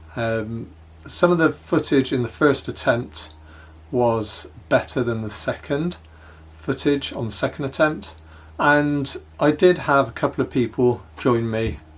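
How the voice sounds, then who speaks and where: A man with an English accent at a medium pitch, fairly slow and with ordinary pitch variation, in a very clean recording with a silent background. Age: 60s. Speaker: hiking vlogger. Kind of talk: casual vlog narration. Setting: home office, then outdoors.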